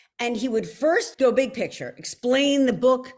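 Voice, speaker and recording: A high-voiced woman with a Philadelphia accent speaks fairly slowly in an animated tone with ordinary pitch variation. The recording is very clean, with a silent background. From Philadelphia, US. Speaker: author. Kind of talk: author talk.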